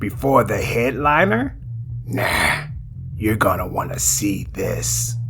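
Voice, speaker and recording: A man speaks in a put-on character voice with a smug tone. His fairly slow pace comes through over loud background noise. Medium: read story. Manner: smug, taunting.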